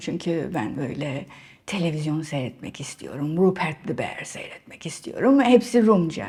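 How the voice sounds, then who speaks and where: A woman speaks at a fairly slow pace in a dark, mellow tone. Vocal fry runs through her voice. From Cyprus, Nicosia. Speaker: writer, artist and academic. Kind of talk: interview. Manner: halting, many fillers.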